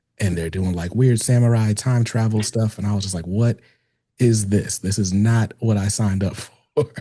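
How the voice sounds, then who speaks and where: Dark and mellow in tone, a man's fairly low voice sounds somewhat breathy. His intonation stays fairly even. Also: moderate pace. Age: 30s. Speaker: podcast host. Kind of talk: casual interview chat.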